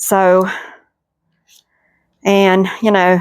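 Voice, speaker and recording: Speaking at a medium pitch, a woman talks with a Southern US accent. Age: 60s. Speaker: homesteading cooking vlogger. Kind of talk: cooking tutorial chat. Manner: casual, folksy.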